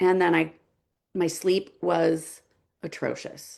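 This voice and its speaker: An animated tone with vocal fry, against a quiet background. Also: woman. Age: 40s. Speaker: health coach. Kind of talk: webinar presentation.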